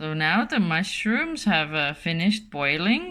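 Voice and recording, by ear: Speaking at a slow pace, a woman with a fairly low pitch and a bright, sharp tone makes big pitch swings.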